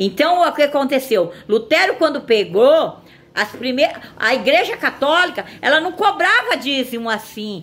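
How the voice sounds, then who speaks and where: A woman with a high pitch speaks at a fairly slow pace. Her pitch swings very widely over noticeable background noise. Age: 60s. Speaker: evangelical video preacher. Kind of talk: informal sermon. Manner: halting.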